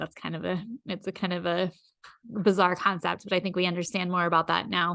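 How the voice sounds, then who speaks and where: A woman with an American accent talks at a very fast pace with vocal fry over a quiet background. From US Midwest, rural Iowa. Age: 40s. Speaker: podcast host. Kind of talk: personal storytelling monologue.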